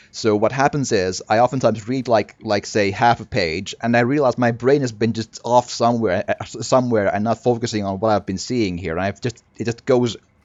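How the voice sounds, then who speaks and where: The speaker uses a non-native accent and talks at a fairly quick pace. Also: man. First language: not English. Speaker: video game streamer. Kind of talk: let's play commentary.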